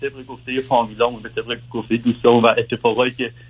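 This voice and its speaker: A man is speaking. He talks at a very fast pace. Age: 20s. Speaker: caller. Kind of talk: advice call-in. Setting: phone call. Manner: halting.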